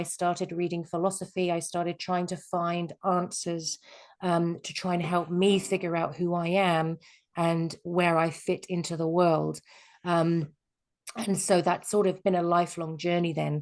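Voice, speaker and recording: Against a quiet background, a woman with an English accent talks at a fairly slow pace with a fairly low pitch and monotone, flat intonation. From England. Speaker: life coach. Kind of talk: webinar presentation. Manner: hesitant, many fillers.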